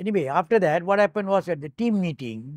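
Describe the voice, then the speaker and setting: Against a quiet background, a man in a Malaysian accent speaks with ordinary pitch variation in a dry sound with no echo. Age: 80s+. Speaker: retired Olympic hurdler and navy officer. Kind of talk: oral history interview. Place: home room.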